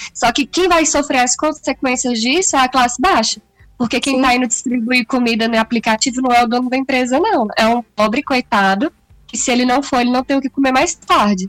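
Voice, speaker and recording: A woman speaks at a fairly quick pace in a high pitch with ordinary pitch variation. The sound is dry and close, with no echo. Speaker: podcast co-host. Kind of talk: casual chat. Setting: video call.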